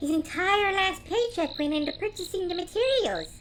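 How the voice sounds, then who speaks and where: Putting on a squeaky character voice, a woman speaks at an extremely high pitch, at a moderate pace with ordinary pitch variation. Clear background noise can be heard. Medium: audio drama.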